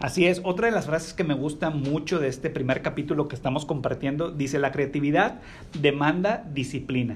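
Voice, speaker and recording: Here is an unremarkable speaking voice from a man with fairly high pitch. He moves along at a fairly quick pace. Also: ordinary pitch variation. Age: 30s. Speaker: podcast host. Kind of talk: casual chat.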